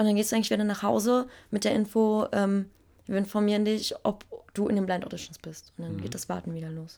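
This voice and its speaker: Talking at a very fast pace, a woman keeps to a medium pitch. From Berlin, Germany. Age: 20s. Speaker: singer. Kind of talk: interview. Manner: animated.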